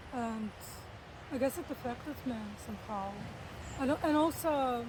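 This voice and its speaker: A woman with a high voice talks at a moderate pace, with ordinary pitch variation and noticeable background noise around her. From Russia, Saint Petersburg. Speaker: artist and illustrator. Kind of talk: interview. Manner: halting.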